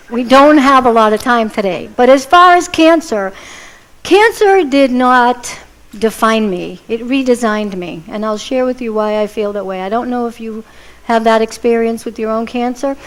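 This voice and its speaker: A woman talks in a normal speaking voice at a moderate pace, with a fairly high pitch and ordinary pitch variation. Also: big swings in loudness. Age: 50s. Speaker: inspirational speaker, cancer survivor. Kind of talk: inspirational talk. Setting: church stage with audience.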